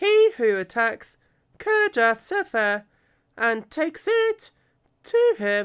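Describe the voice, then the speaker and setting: In a put-on character voice that sounds female, the speaker talks very slowly at a high pitch with long, frequent pauses, in a very clean recording with a silent background. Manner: silly.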